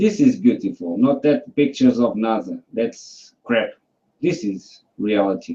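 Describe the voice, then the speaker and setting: A man with a non-native accent at a fairly slow pace. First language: not English. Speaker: flat earth debate participant. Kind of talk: casual online debate. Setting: video call hangout. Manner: halting.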